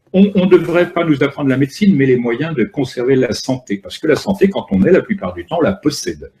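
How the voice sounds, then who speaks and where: This man has a fairly high-pitched, dark, mellow voice with vocal fry. He talks at a fairly quick pace, and his pitch swings very widely. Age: 60s. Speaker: author and filmmaker. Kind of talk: lecture.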